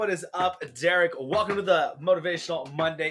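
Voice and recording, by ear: Speaking at a fairly quick pace, a man uses a fairly high pitch and a fairly bright tone with ordinary pitch variation.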